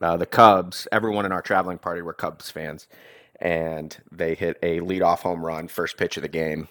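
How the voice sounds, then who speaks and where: A man with an American accent speaks in a very deep, low voice at a moderate pace. His intonation is flat and monotone, the sound dry and close with no echo on a very clean recording with a silent background. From Texas (Dallas area). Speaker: sports podcast host. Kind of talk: casual solo podcast monologue.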